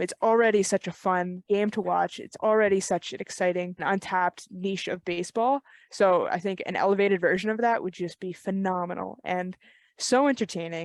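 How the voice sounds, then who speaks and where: Here is a normal speaking voice at a moderate pace with fairly even intonation. The sound is dry and close, with no echo. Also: woman, medium pitch for a woman. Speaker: podcast co-host; baseball player. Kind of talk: casual podcast conversation.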